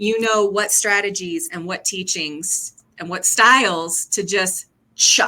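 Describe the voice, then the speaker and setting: Speaking very slowly, a woman has a bright, sharp tone at medium pitch. Her loudness swings widely, while her pitch varies an ordinary amount. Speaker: brand strategist. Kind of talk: casual chat. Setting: video call.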